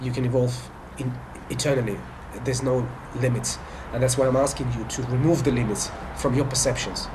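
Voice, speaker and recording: A man with a Russian accent speaks at a medium pitch and a fairly quick pace with monotone, flat intonation and long, frequent pauses, amid audible room echo and noticeable background noise. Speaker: spiritual life coach. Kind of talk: monologue to camera. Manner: halting, many fillers and restarts.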